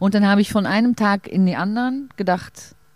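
A woman with a Dutch accent. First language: Dutch (speaking German). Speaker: stage actress. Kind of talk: casual interview. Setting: outdoors in a garden. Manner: halting.

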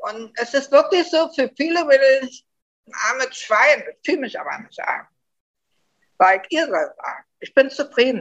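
A woman with a Berlin accent speaks at a moderate pace in a high voice, her intonation lively, her loudness swinging widely, and her speech broken by long, frequent pauses. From Germany, Berlin. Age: 60s. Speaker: interviewee living abroad. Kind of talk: casual interview.

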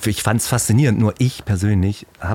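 Moderately paced, a man speaks in a plain, everyday voice at a fairly low pitch. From Heilbronn area, Baden-Württemberg. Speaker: painter. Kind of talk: casual interview chat.

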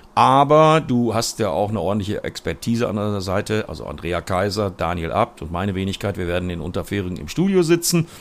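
On a very clean recording with a silent background, a man talks at a fairly quick pace with hardly any pauses and very wide pitch swings. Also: fairly low pitch for a man. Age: 50s. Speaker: motorsport commentator. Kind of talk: casual chat.

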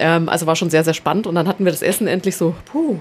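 Her medium-pitched voice is an unremarkable speaking voice, and the woman uses ordinary pitch variation. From Nuremberg, Franconia, Germany. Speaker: cultural centre project coordinator. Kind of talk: casual chat.

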